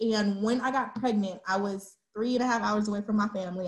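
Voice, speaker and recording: Somewhat breathy and fairly high-pitched, a woman with an American accent talks at a fairly quick pace with fairly even intonation. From Texas, Dallas. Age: 20s. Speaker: single moms community founder. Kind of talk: casual chat.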